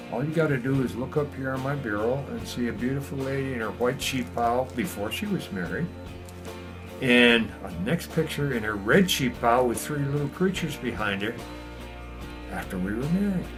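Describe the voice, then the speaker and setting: Over music in the background, a man with a warm tone and medium pitch speaks with lively intonation. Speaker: retired grandfather. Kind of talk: interview answer. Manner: warm, reminiscing.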